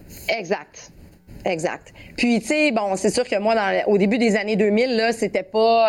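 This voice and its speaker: The woman has a Quebec accent and a fairly high pitch. She speaks at a fairly slow pace. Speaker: former athlete. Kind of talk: interview testimony. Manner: halting.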